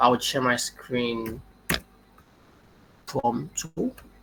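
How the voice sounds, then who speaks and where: A man is speaking. His pitch is medium. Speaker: machine learning engineer. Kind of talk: webinar talk.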